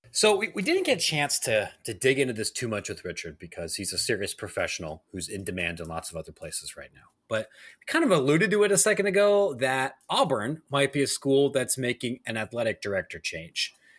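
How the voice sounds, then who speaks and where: Speaking at a fairly quick pace with an American accent, a man with a fairly high pitch and vocal fry makes big swings in loudness and very wide pitch swings, all in a very clean recording with a silent background. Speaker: podcast host. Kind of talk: casual chat.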